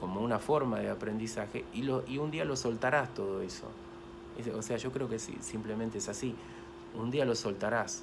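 A man's moderate-paced speech comes with noticeable background noise. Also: ordinary pitch variation. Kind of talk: casual vlog chat about spirituality. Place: home room. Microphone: phone near.

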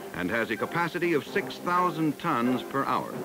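Clear background music plays. Over it, a man talks. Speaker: documentary narrator. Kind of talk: documentary narration. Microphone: old recording.

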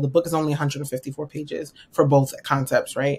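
A woman with an American accent speaks at a very deep, low pitch in a monotone, flat intonation. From New York. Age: 30s. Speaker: financial strategist; podcast guest. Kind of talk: interview. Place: home room.

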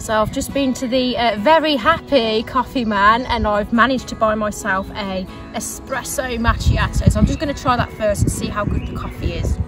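A woman at a moderate pace with hardly any pauses and ordinary pitch variation, clear music in the background, dry sound with no echo. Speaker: vlogger. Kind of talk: casual vlog chat. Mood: relaxed, delighted. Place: open country.

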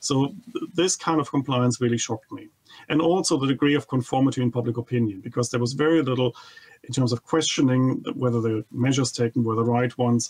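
With a German accent, a man is speaking. His pace is very fast. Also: ordinary pitch variation. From Germany. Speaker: economist, think tank head. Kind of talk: TV interview. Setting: remote video link. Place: home room. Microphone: studio mic.

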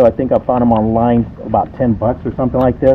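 A man is speaking, with light background noise behind him. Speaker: motorcycle owner vlogger. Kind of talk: casual vlog chat. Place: street.

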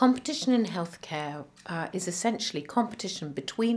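The pace of this woman's speech is moderate. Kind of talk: interview answer. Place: office.

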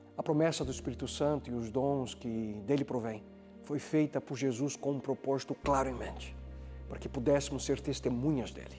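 A man talks at a moderate pace while faint music plays in the background. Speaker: presenter. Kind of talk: sermon. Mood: calm, warm, earnest. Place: studio.

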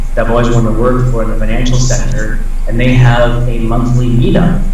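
With an American accent, a man talks at a very fast pace and medium pitch amid strong room echo and light background noise. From Iowa. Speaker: tech recruiter. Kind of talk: lecture. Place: office. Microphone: webcam.

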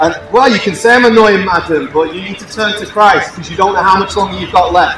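A man at a high pitch and very fast pace over noticeable background noise. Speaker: street preacher. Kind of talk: open-air evangelistic sermon to passers-by. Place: street. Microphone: camera far.

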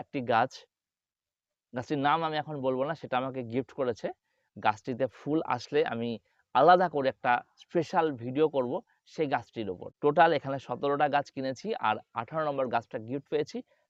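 A man talks in a normal speaking voice at a fairly high pitch. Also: ordinary pitch variation. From West Bengal, India (Nadia district). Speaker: gardening YouTuber. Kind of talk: tutorial.

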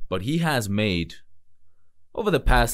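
A man talks at a fairly slow pace, with a quiet background behind him. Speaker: music reaction streamer. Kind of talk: casual reaction commentary. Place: home room. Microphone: studio mic.

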